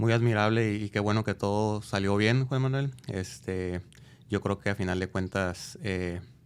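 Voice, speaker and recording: In a very clean recording with a silent background, a man with a normal speaking voice talks at a fairly slow pace, his fairly low pitch showing ordinary variation. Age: 40s. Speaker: podcast host. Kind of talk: interview.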